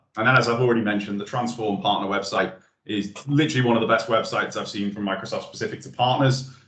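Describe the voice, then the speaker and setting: Speaking at a very fast pace with ordinary pitch variation, a man is heard with audible room echo. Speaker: webinar presenter. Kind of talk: webinar presentation. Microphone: video call.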